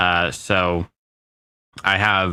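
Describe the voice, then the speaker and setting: Over a very clean recording with a silent background, a man speaks at a very deep, low pitch in a bright, sharp tone, with a dry, close sound and no echo. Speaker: gaming streamer. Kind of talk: casual chat. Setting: live stream. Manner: halting, many fillers.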